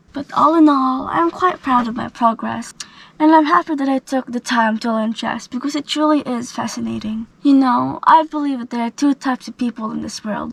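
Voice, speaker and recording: A woman with a high pitch speaks with hardly any pauses and big swings in loudness, in a dry, close sound with no echo and noticeable background noise. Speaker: vlogger. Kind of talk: casual vlog monologue.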